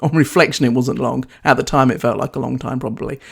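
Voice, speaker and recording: A woman's very deep, low voice in a New Zealand accent, at a fairly quick pace. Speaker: podcast host, leadership coach and former charge nurse. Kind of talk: solo podcast talk.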